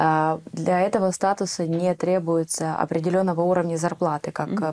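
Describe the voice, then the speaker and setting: At a fairly quick pace, a woman speaks in a fairly low pitch with a dark, mellow tone and monotone, flat intonation. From Ukraine. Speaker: immigrant sharing experience. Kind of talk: interview.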